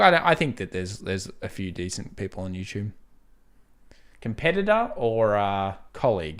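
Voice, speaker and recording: In an Australian accent, a man speaks with a fairly low pitch and lively intonation. His loudness swings widely on a very clean recording with a silent background. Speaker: YouTuber answering viewer questions about investing. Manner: casual, conversational.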